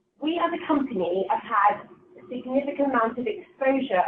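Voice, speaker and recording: A woman's unremarkable speaking voice with lively intonation at a moderate pace. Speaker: finance professional. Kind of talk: webinar presentation. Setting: online webinar. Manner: formal.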